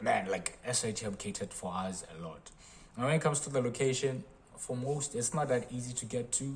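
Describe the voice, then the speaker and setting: At a fairly quick pace, a man talks with lively intonation in a somewhat breathy voice of medium pitch. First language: not English. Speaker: engineering college alumnus. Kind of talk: casual talk to camera.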